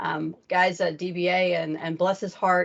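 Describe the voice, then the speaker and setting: Her intonation monotone and flat, a woman with an American accent speaks in a fairly low pitch. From US, Arizona. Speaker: tech trainer and presenter. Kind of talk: technical talk to user group. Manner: many filler ums.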